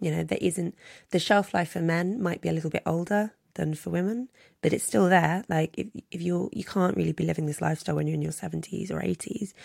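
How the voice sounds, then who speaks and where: A woman with a London accent, very fast, in a dry, close sound with no echo on a very clean recording with a silent background. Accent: southern English (London). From London, England. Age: 30s. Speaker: journalist and author. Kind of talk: interview conversation.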